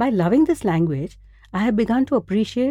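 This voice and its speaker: With very wide pitch swings, a woman speaks in a dark, mellow tone. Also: dry, close sound with no echo. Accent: Gujarati. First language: Gujarati. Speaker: podcast host. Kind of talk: scripted narration.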